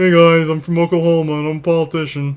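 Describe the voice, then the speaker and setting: A man puts on a character voice at a fairly high pitch. He talks very fast in a monotone, flat intonation. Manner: goofy, exaggerated.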